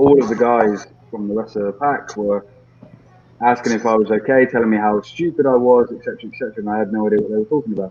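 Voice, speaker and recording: Over noticeable background noise, a man at medium pitch races along very fast with a British accent and fairly even intonation. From UK. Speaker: motorcycle rider, video creator. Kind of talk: casual chat.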